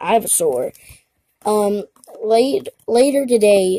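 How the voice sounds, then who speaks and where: A woman's fairly high voice at a very slow pace, dry and close with no echo. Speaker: youtuber, card box opening. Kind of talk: unboxing video commentary. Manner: casual, animated.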